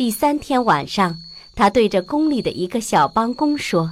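A woman's fairly high voice with big swings in pitch. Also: moderate pace.

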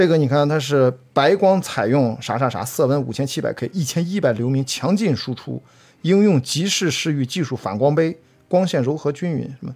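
Over a silent background in a very clean recording, a man with a plain, everyday voice talks at a moderate pace, fairly high in pitch, with lively intonation. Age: 40s. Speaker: trail runner and film producer. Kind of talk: casual interview chat.

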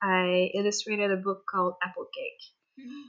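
Against a quiet background, a woman with a Quebec accent speaks in a fairly high pitch with a bright, sharp tone. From Quebec, Canada. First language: French. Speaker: children's book illustrator. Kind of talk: interview. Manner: halting.

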